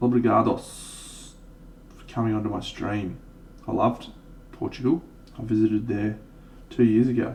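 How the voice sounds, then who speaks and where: A man with an Australian accent speaks with long, frequent pauses. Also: moderate pace, big swings in loudness. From Australia, Brisbane. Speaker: miniature painting streamer. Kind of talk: casual livestream chat. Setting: live stream.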